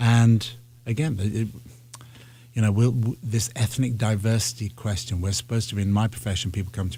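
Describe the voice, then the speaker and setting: Speech in a British accent, somewhat breathy with a dark, mellow tone. The intonation stays fairly even. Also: man. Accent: British (English) accent, fully intact. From northern England. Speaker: ballet artistic director. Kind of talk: interview. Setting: radio studio. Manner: halting, with many repetitions.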